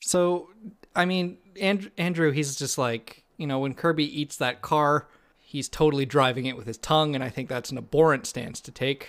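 With an ordinary speaking voice, a man talks at a moderate pace in a fairly high pitch, with ordinary pitch variation and big swings in loudness. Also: very clean recording, silent background. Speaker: podcast host. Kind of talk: casual banter podcast chat.

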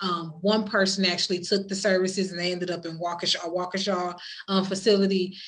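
Recorded with audible room echo, a woman speaks at a fairly quick pace and medium pitch in a monotone, flat intonation. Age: 40s. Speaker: podcast host and domestic violence advocate. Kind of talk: casual interview. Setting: virtual online session.

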